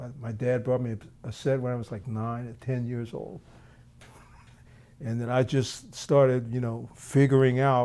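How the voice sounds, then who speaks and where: Speaking at a moderate pace with a Philadelphia accent, a man has a dark, mellow tone, a medium pitch and fairly even intonation. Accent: American, Philadelphia. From US, Philadelphia. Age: 60s. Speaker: jazz drummer. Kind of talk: interview.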